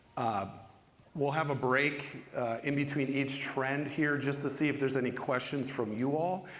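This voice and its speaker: Speaking at a moderate pace with a Minnesotan accent, a man with a fairly high voice is heard amid noticeable background noise and audible room echo. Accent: Minnesota. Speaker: panel moderator, ed tech specialist. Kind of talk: panel discussion hosting. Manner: casual with frequent fillers.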